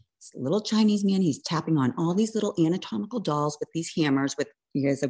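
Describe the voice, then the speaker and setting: Over a very clean recording with a silent background, a woman with an American accent talks at a very fast pace, her very deep, low voice dark and mellow in tone, her intonation lively. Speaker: registered nurse, cancer survivor. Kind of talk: testimony.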